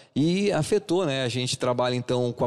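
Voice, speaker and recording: A man talks in a fairly high pitch with an unremarkable speaking voice. The background is quiet. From southern Brazil, Paraná–Santa Catarina border. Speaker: DJ and event business owner; DJ. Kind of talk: radio interview. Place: studio.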